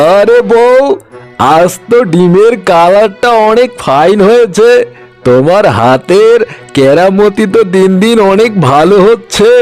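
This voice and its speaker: Over faint music in the background, a man puts on a cartoonish character voice, high-pitched and at a fairly slow pace. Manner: smooth, boastful salesman.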